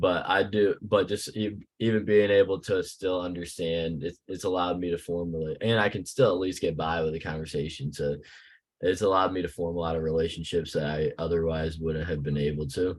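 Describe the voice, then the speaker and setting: A man's very deep, low-pitched voice at a fairly quick pace with fairly even intonation, over a quiet background. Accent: American. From United States. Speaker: student. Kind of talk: class discussion. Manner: casual, halting.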